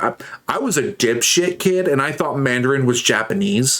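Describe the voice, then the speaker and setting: A man talks at a moderate pace with lively intonation. His pitch is medium, and it is an unremarkable speaking voice. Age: 30s. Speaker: streamer. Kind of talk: casual chat.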